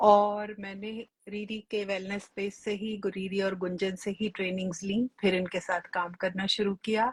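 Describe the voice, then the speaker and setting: The voice is somewhat breathy and monotone, running on with hardly any pauses in a dry, close sound with no echo. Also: woman, medium pitch for a woman. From India, Delhi. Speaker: regression therapist and life coach. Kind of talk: live stream conversation. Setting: online live stream.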